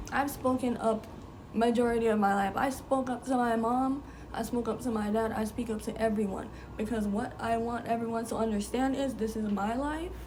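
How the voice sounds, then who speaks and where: With audible room echo and noticeable background noise, a woman speaks at a moderate pace, her fairly high pitch carrying fairly even intonation. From Jamaica. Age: 20s. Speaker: lifestyle vlogger. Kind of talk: casual advice talk to camera.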